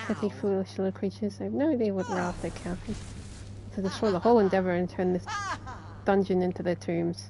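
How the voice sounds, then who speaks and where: A woman talks at a very fast pace, broken by long, frequent pauses. Noticeable background noise runs underneath. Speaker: streamer. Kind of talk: reading game dialogue aloud.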